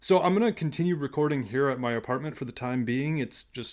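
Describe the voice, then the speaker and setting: Quietly and at a fairly quick pace, a man talks with fairly high pitch and ordinary pitch variation. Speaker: history podcast host. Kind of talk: podcast monologue. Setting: home recording in a closet.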